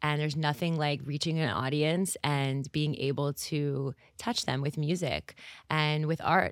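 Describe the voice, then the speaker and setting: A woman speaks in a Montreal accent with a very deep, low pitch and fairly even intonation. The recording is very clean, with a silent background. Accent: Canadian English, Montreal. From Montreal, Canada. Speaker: singer. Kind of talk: interview conversation.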